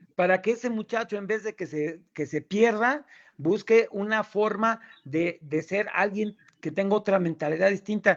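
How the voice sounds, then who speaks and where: A man speaks at a fairly slow pace with a high pitch and ordinary pitch variation. The sound is dry and close, with no echo. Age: 60s. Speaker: chemical engineer, debater. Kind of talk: debate.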